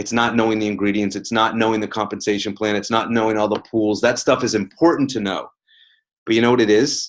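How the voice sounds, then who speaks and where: In a quiet setting, a man talks very fast at a medium pitch with an animated tone. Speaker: network marketing team leader. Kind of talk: team conference call talk.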